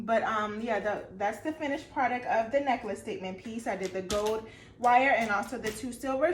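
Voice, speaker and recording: Audible room echo surrounds a woman's fairly high voice. She talks at a moderate pace with ordinary pitch variation. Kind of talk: casual tutorial vlog. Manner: casual, halting with fillers.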